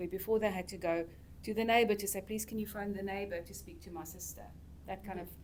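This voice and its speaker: Very fast and in a monotone, flat delivery, a woman speaks at a medium pitch with vocal fry and big swings in loudness. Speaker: podcast panelist, school staff member. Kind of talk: casual panel chat.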